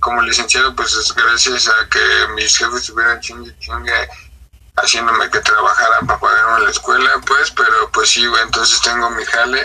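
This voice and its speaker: Noticeable background noise runs behind a man who talks at a moderate speed. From Mexico, Estado de México (Ixtapaluca). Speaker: independent trap artist. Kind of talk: casual interview.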